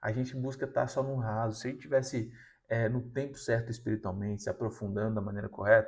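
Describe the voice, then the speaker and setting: A very fast, somewhat breathy male voice with fairly even intonation, on a very clean recording with a silent background. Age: 20s. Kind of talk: motivational sermon-style talk. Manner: casual, conversational.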